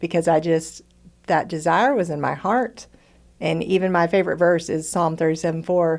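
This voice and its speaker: A woman with an unremarkable speaking voice, fairly low in pitch, in an American accent, at a moderate pace with ordinary pitch variation. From Texas. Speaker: retired teacher turned entrepreneur. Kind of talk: casual interview testimony.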